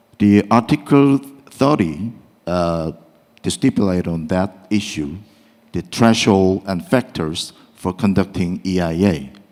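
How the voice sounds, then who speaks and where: Speaking fairly slowly in a very deep, low voice, a man talks with a Korean accent. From South Korea. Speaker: law professor, panel discussant. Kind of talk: academic panel discussion. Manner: halting, many fillers.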